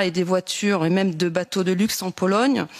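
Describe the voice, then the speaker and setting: A woman talks at a medium pitch with fairly even intonation. Noticeable background noise runs behind her. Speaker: politician. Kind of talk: committee hearing questions.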